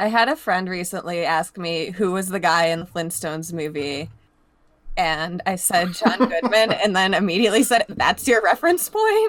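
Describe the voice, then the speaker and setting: Using a plain, everyday voice, a woman talks at a moderate pace and medium pitch with ordinary pitch variation. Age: 20s. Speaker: podcast guest. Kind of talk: casual chat.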